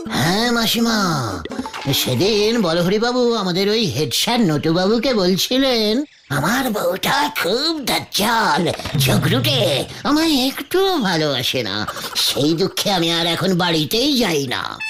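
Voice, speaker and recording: Putting on a cartoonish character voice, a man speaks at a fairly slow pace with a high pitch and very even loudness over clear background noise. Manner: stammering, giggly, wheedling.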